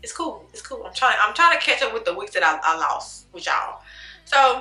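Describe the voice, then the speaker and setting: A woman's voice is raised and projected. Her tone is bright and sharp. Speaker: YouTuber, movie reviewer. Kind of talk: casual vlog monologue, movie review. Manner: casual, conversational; stutters, self-corrects.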